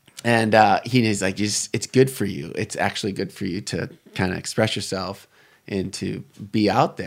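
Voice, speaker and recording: A man speaks in a normal speaking voice with an American accent, at a moderate pace and fairly low pitch. His pitch varies in an ordinary way, and the recording is very clean with a silent background. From US Midwest, Detroit area. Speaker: military veteran. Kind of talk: casual interview chat.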